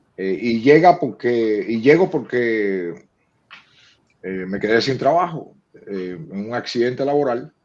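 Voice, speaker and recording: This man talks at a fairly slow pace with lively intonation. His pitch is medium. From Cuba. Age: 60s. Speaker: publisher and poet. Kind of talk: interview. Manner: halting.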